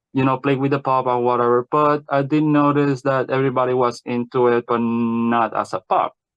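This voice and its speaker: In a non-native accent, a man speaks at a medium pitch and a fairly quick pace, with hardly any pauses. His intonation is monotone and flat, his loudness very even, and the sound dry and close with no echo. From Puerto Rico. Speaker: podcast guest. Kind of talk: interview.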